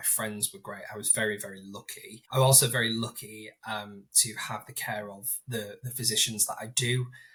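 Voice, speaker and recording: With a Yorkshire accent, a man speaks at a moderate pace and medium pitch. His tone is bright and sharp, and his intonation is fairly even. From northern England, Hull. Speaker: inclusion leader with Crohn's disease. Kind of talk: podcast interview.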